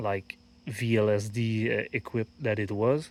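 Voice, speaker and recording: A man speaks with a French accent at a fairly slow pace. His intonation is monotone and flat, and the recording is very clean with a silent background. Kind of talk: casual talk to camera. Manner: hesitant, many fillers.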